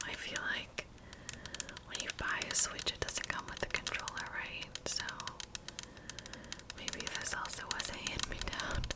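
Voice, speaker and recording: Someone whispers at a fairly slow pace with long, frequent pauses against noticeable background noise. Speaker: ASMR creator. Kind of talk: ASMR tapping video chat. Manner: whispered; soft-spoken.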